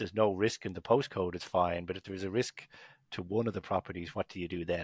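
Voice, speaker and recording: With an Irish accent, a man speaks in a very deep, low pitch on a very clean recording with a silent background and a dry, close sound with no echo. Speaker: company executive. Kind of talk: podcast interview.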